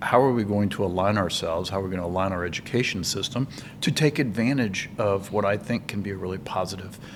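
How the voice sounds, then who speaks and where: With an American accent, a man talks at a very fast pace in a fairly low pitch with ordinary pitch variation, amid noticeable background noise and audible room echo. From rural US. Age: 60s. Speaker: manufacturing association executive. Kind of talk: casual chat. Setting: conference recording.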